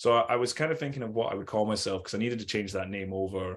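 Against a quiet background, a man with an American accent talks very fast at a fairly low pitch. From Scotland. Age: late 30s. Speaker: clothing brand owner and artist. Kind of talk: casual interview chat. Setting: video call.

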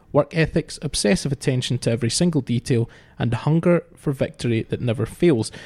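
A somewhat breathy man with a dark, mellow tone, lively intonation and a fairly quick pace, dry and close with no echo. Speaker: podcast host. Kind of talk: sports podcast discussion, presenting.

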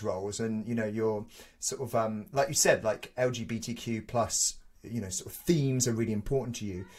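This man's voice is somewhat breathy, and he keeps a moderate pace. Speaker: podcast host. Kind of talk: casual interview chat.

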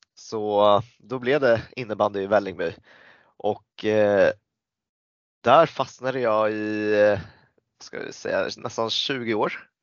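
A man with a fairly low voice speaks at a very slow pace, leaving long, frequent pauses. His intonation stays fairly even. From Sweden, Stockholm area. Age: 30s. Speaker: floorball player and club leader. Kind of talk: casual interview.

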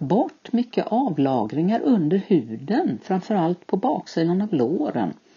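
A woman speaks at a very slow pace with vocal fry. Her pitch swings very widely. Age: 60s. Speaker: podcast guest, retiree with IBS. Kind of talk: interview.

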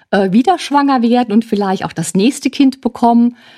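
With a plain, everyday voice, a woman talks at a fairly high pitch and with lively intonation, in a very clean recording with a silent background and a dry, close sound with no echo. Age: 60s. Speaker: family counselor and social worker. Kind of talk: expert interview.

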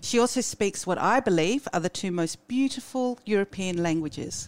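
A woman with an unremarkable speaking voice talks at a medium pitch and a moderate pace. Her intonation is lively. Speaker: podcast host. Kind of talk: interview, conversational.

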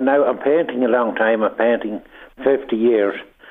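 This voice belongs to a man. He speaks with an Irish accent. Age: 70s. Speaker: painter. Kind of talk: radio interview. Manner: halting.

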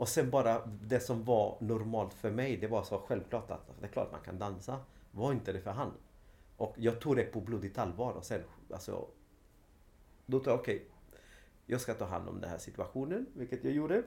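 The voice is somewhat breathy with a dark, mellow tone and ordinary pitch variation. It keeps a moderate pace broken by long, frequent pauses. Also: man, medium pitch for a man. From Sweden, Linköping (arrived from Chile at age 5). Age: 40s. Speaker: dance teacher, former professional dancer. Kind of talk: interview. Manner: halting.

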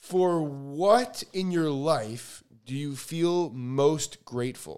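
Very slowly, a man talks. He has an American accent. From Chicago, US Midwest. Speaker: podcast co-host. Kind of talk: casual chat.

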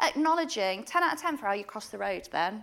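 In a very clean recording with a silent background, a woman with a northern English accent speaks with very wide pitch swings. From Yorkshire, England. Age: 30s. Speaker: author. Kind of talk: casual interview chat.

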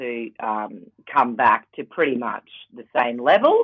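A woman with a very deep, low pitch and an Australian accent, speaking at a fairly slow pace. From Queensland, Australia (Rockhampton). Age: 40s. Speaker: Paralympian and TV presenter. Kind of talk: casual interview chat.

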